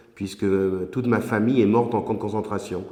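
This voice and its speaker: With audible room echo, a man speaks in a fairly low voice with ordinary pitch variation. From southern France, Mediterranean coast. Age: 60s. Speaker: regional politician. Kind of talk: interview. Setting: office. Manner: hesitant, frequent filler 'euh'.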